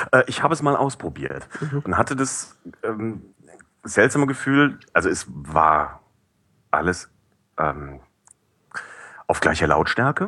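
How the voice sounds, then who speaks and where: A man speaks very slowly with vocal fry, a bright, sharp tone, very wide pitch swings, and long, frequent pauses. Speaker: podcast curator and newspaper employee. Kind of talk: casual chat. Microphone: cheap headset with high noise.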